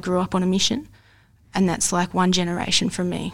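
Recorded very cleanly with a silent background, a woman talks. She moves at a fairly quick pace. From Australia, Mildura, Victoria. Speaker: football coach. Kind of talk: casual interview conversation. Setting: studio, in person.

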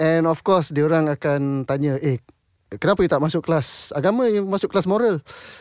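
A man talks at a fairly quick pace in an ordinary speaking voice, pitched fairly high, with lively intonation and very even loudness. The sound is dry and close with no echo, over a quiet background. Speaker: singer and composer. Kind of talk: interview. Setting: studio.

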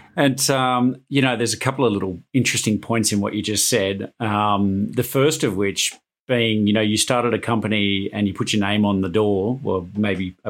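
In a very clean recording with a silent background, a man speaks fairly quickly in a fairly low pitch with ordinary pitch variation. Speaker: podcast host. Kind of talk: interview. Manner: halting, repeats words.

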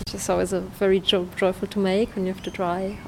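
A woman's medium-pitched voice with a German accent, flat monotone intonation, a moderate pace, and noticeable background noise. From Germany. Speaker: pastry chef and dog bakery owner. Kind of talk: interview.

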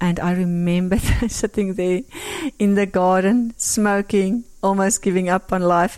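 In an Afrikaans South African accent, a woman talks at medium pitch and a moderate pace, her tone warm and her intonation monotone and flat. The recording is very clean, with a silent background. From rural South Africa. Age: 50s. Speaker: interviewee sharing faith story. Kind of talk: testimony.

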